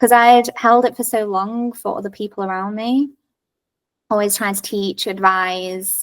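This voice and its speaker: In a normal speaking voice, a woman talks at a moderate pace and medium pitch with fairly even intonation. The recording is very clean, with a silent background. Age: 30s. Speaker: teacher. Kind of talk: casual interview conversation.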